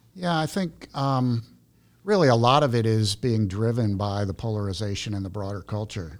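Here is a man with an ordinary speaking voice. His fairly low pitch carries lively intonation. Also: moderate pace. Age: 60s. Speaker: former businessman and missions worker. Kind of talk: casual chat.

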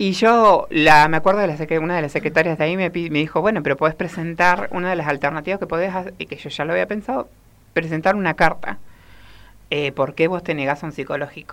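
A woman's very fast speech at a fairly low pitch, with ordinary pitch variation. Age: 30s. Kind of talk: interview.

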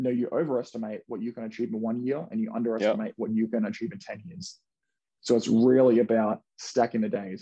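A man talks very fast in an Australian accent, with a dark, mellow tone. His pitch is medium, with ordinary variation. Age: 20s. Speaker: real estate investor. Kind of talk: casual interview.

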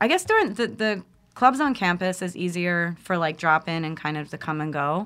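In a very clean recording with a silent background, a woman speaks at a moderate pace in an American accent. Hers is an ordinary speaking voice, fairly low in pitch. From US Northeast, Philadelphia. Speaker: nonprofit founder and youth educator. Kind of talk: casual interview.

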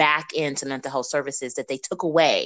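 A woman speaks with an American accent over a quiet background. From Missouri. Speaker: podcast co-host. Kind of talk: casual chat.

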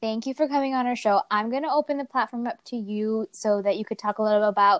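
With a fairly high pitch and a clear, smooth tone, a woman speaks at a fairly quick pace in a dry, close sound with no echo.

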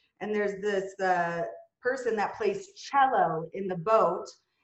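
A woman in a Minnesotan accent talks at a moderate pace and a medium pitch. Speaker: executive. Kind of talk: casual interview. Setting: video call.

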